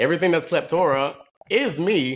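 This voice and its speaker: Heard on a very clean recording with a silent background, a man with an American accent and a normal speaking voice talks at a moderate pace with lively intonation. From US South, southeast Alabama. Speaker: content creator. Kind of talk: casual interview.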